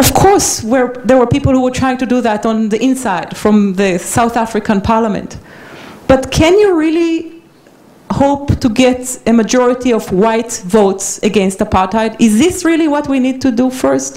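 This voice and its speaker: With noticeable background noise and audible room echo, a woman talks at a high pitch with lively intonation. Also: moderate pace. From Israel. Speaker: peace activist. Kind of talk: lecture. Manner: halting.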